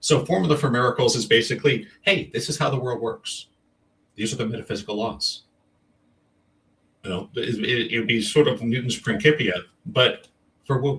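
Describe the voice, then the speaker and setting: With long, frequent pauses, a man speaks with ordinary pitch variation. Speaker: energy healer and author. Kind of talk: interview. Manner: fast.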